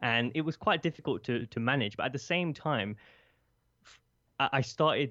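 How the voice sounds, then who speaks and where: Against a quiet background, a man with a British accent talks at a moderate pace with ordinary pitch variation. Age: 20s. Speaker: podcast host and speaker. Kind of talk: interview conversation. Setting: remote call.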